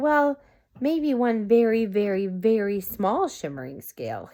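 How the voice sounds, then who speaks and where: In a very clean recording with a silent background, a woman uses a put-on character voice at a fairly high pitch and a fairly slow pace. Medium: read story.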